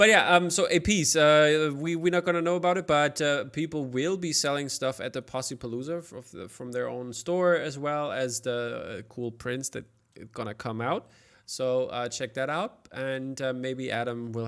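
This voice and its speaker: A man with a German accent and medium pitch, at a moderate pace with hardly any pauses, lively intonation and big swings in loudness, on a very clean recording with a silent background. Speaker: podcast host. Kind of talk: casual interview chat.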